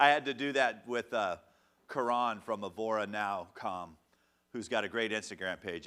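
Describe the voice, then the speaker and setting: In a bright, sharp and animated tone, the voice moves at a moderate pace with ordinary pitch variation, on a very clean recording with a silent background. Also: man. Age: 50s. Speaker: music manager and social media coach. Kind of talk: live workshop.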